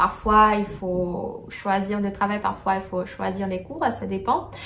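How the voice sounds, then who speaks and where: With a Russian accent, a woman speaks at a medium pitch and a very slow pace, her voice carrying audible room echo. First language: Russian (speaking French). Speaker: student vlogger. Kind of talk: casual vlog chat. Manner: halting, many hesitations.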